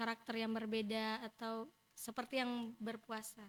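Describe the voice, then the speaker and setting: Very slowly, a woman talks at a fairly high pitch with monotone, flat intonation. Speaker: student organization leader. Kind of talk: casual interview. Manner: loud; talkative.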